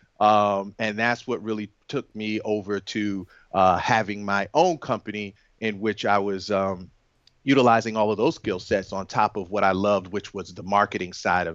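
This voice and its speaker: In a normal speaking voice, a man with fairly low pitch talks at a moderate pace with fairly even intonation. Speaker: app and web developer. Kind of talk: casual interview chat.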